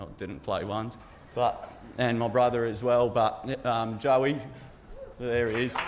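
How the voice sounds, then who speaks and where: The man's voice sits at a medium pitch. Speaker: groom giving wedding speech. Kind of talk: wedding speech. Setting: wedding reception with audience. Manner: loud; halting, lots of ums and repeats.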